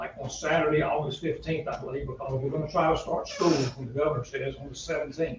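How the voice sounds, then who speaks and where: A man talks with a Southern US accent. There is noticeable background noise. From North Carolina, Iredell County. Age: 70s. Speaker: parade organizer and school board member. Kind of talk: public meeting remarks. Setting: town budget meeting. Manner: halting.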